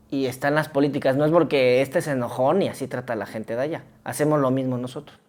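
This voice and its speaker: A woman with a Mexican accent speaks at a very deep, low pitch. She talks very fast with hardly any pauses and fairly even intonation. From Oaxaca, Mexico. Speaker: podcast co-host. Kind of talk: casual chat.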